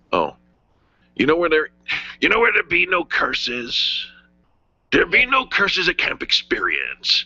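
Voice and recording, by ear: Using a high-pitched put-on character voice, a man speaks at a moderate pace with long, frequent pauses.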